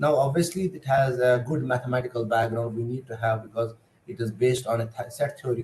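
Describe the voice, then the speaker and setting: This man's voice sits at a medium pitch and is somewhat breathy. He moves at a fairly quick pace with ordinary pitch variation. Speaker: computer science lecturer. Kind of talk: lecture. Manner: fast; hesitant, many fillers.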